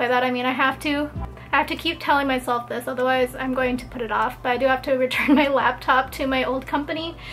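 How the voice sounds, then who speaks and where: With faint music in the background, a woman talks at a very fast pace in a high pitch with fairly even intonation. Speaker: lifestyle vlogger. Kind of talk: casual vlog chat. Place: home room. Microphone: camera far.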